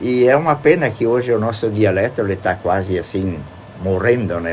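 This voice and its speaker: A man's fairly low-pitched voice at a moderate pace over noticeable background noise. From Rodeio, Santa Catarina, southern Brazil. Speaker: retired teacher and local author. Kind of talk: radio interview. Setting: radio studio.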